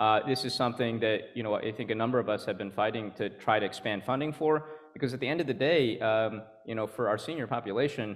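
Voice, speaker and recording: The speaker has an American accent and talks at a very fast pace. Pitch variation is ordinary. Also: man. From California. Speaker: state senator. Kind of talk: panel discussion.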